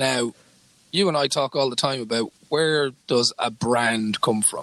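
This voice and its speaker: A man with an Irish accent speaks at a fairly slow pace and medium pitch with ordinary pitch variation. His bright, sharp tone comes through in a dry, close sound with no echo. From Ireland. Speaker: podcast co-host, sports journalist. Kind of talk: casual chat.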